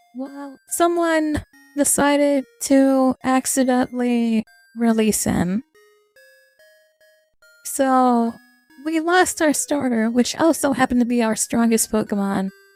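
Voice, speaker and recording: Music plays behind a woman who speaks at a high pitch, very slowly, with long, frequent pauses. Her pitch varies in an ordinary way, her loudness swings widely, and the sound is dry and close with no echo. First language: not English. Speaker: VTuber. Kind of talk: casual gaming highlight narration.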